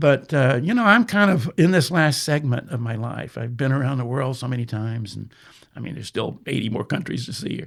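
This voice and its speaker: A man with an American accent talks at a very fast pace and medium pitch, with vocal fry. The recording is very clean, the background silent. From Texas. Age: 70s. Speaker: travel photographer and author. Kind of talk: podcast interview. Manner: halting, many fillers.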